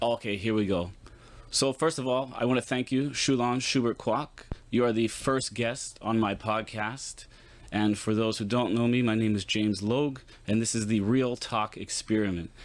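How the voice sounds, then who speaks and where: This man has a normal speaking voice with an American accent and medium pitch. His intonation stays fairly even. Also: moderate pace. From Pittsburgh, Pennsylvania. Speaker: podcast host. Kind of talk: podcast interview.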